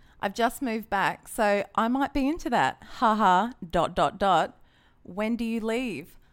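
A woman with an Australian accent speaks at a fairly slow pace, her pitch fairly high. Her intonation is lively, and the recording is very clean with a silent background. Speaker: dating app user, former radio traffic reporter. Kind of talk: casual chat. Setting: studio.

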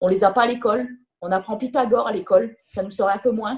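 Fairly high in pitch, a woman has an ordinary speaking voice with fairly even intonation. She talks at a fairly quick pace. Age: 30s. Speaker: professional footballer. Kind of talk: interview.

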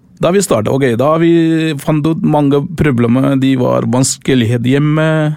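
Over noticeable background noise, a man with a Tamil accent talks in a fairly high pitch with hardly any pauses. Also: ordinary pitch variation, fairly slow pace, very even loudness. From Sri Lanka. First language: Tamil (speaking Norwegian). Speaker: volunteer charity leader. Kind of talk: interview. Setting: studio. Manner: halting.

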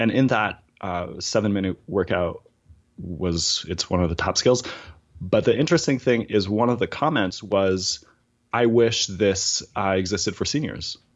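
The man's voice sits fairly low, with ordinary pitch variation. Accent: Acadian. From Acadian, East Coast Canada. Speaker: audiologist and voice app developer. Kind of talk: casual interview. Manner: animated.

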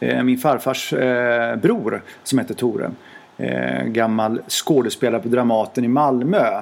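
A man talks fairly slowly as noticeable noise fills the background. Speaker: royal affairs journalist. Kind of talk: casual interview chat. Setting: magazine office.

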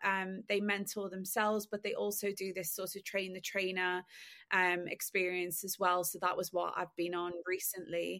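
Very clean and set against a silent background, a woman's medium-pitched voice moves at a moderate pace in monotone, flat intonation. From Liverpool, England. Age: 30s. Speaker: fashion industry founder. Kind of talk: casual interview chat.

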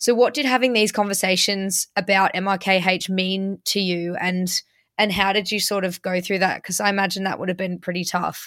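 A woman speaks at a moderate pace with medium pitch. Her intonation stays fairly even, and the recording is very clean with a silent background. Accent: English. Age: 20s. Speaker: podcast host. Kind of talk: interview.

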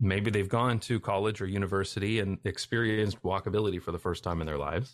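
The speech runs at a very fast pace with ordinary pitch variation. The background is quiet. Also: man. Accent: Canadian. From Canada. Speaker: YouTuber on urban design. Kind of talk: interview conversation.

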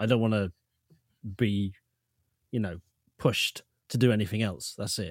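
Recorded very cleanly against a silent background, a man with a British accent talks at a moderate pace in a fairly low voice, the sound dry and close with no echo. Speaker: podcast host. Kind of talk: casual chat.

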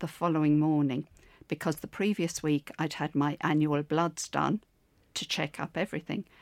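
On a very clean, silent-background recording with a dry, close sound and no echo, a woman speaks in a very deep, low pitch with an Irish accent. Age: 70s. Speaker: stroke survivor and gym client. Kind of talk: interview.

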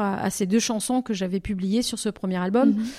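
Ordinary pitch variation and a moderate pace in a woman's dark, mellow tone. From southwestern France, Bordeaux. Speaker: singer-songwriter. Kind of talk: interview. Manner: halting.

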